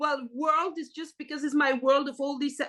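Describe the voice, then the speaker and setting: A woman with a French accent projects a raised, bright and sharp voice at a high pitch and a moderate pace. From French-speaking Switzerland. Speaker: artist. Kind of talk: podcast interview. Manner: hesitant, many fillers.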